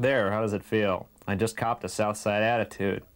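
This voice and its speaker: The speaker is a man. He keeps a moderate pace. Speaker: public access show host. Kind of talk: comic reading of viewer mail. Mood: wry, amused. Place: home room. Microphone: lapel.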